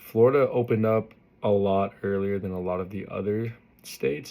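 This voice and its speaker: With an American accent, a man speaks at a fairly low pitch with ordinary pitch variation on a very clean recording with a silent background. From US West, Las Vegas, Nevada. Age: 20s. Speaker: college student. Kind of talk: class self-introduction speech. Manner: casual, many fillers like 'like' and 'um'.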